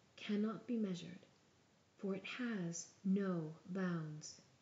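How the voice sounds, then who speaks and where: A soft-spoken woman, somewhat breathy, with a gentle tone, medium pitch, ordinary pitch variation and a very slow pace. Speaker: ASMR storyteller. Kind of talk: bedtime story reading. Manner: soft-spoken, gentle.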